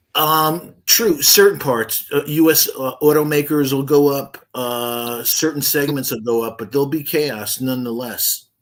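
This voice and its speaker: A man with an unremarkable speaking voice talks at a fairly slow pace, barely pausing. His pitch sits fairly high and varies in an ordinary way. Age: 60s. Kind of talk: casual chat.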